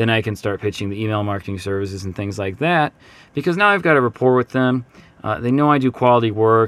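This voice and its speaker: In an upbeat tone, a man talks very fast at a medium pitch. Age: 30s. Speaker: podcast host, marketing consultant. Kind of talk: casual solo podcast monologue. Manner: filler-heavy, hesitant.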